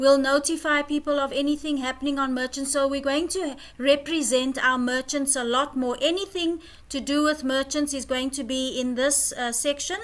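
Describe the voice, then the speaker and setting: Speaking at a moderate pace, a woman uses a high voice with fairly even intonation. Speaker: community project organiser. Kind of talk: online presentation. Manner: hesitant. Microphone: too quiet, no headphones.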